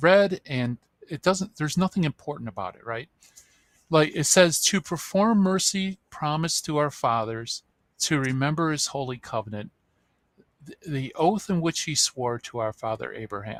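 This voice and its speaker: In a very clean recording with a silent background and a dry, close sound with no echo, a man with a fairly high pitch speaks in an animated tone at a moderate pace, with very wide pitch swings and big swings in loudness. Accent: Midwestern. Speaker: author and Bible apologist. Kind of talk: interview. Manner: animated, explanatory; halting with fillers.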